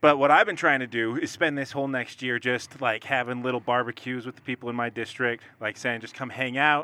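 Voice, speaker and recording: Fairly quick and with hardly any pauses, a man with a plain, everyday voice speaks at a medium pitch with fairly even intonation. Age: 30s. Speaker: political activist. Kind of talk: casual chat.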